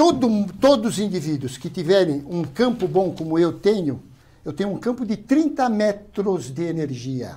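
At a moderate pace, a man speaks in a high pitch with very wide pitch swings and a dark, mellow tone. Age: 70s. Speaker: physician; guest. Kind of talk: interview. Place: studio. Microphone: lapel.

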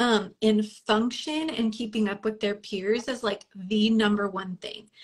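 A woman speaks at a fairly slow pace with a somewhat breathy voice. The background is quiet. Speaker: guest. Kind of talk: interview answer. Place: home room. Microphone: video call.

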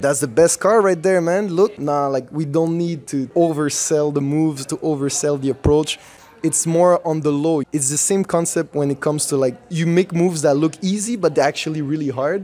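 With a Quebec accent, this man talks at a moderate pace, his pitch fairly high and its variation ordinary. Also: hardly any pauses. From Montreal, Quebec. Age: 20s. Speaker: breakdancer; interviewee. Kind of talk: interview.

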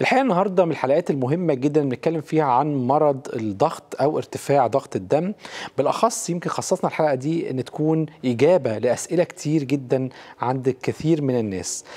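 A man's moderately paced speech comes over a quiet background. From Egypt. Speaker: TV health show host. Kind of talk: TV health interview. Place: studio. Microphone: lapel.

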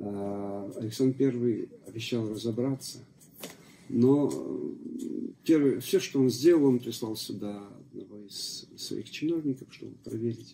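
A man's dark, mellow voice at a very slow pace, with long, frequent pauses, big swings in loudness and light background noise. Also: ordinary pitch variation. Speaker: church deacon and local author. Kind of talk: interview answers. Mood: calm storytelling.

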